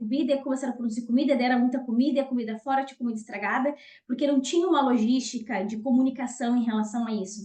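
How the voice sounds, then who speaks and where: A woman's high-pitched, dark and mellow voice, very fast, with fairly even intonation. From southern Brazil, Rio Grande do Sul. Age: 30s. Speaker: nutritionist and lecturer. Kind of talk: online talk / webinar presentation.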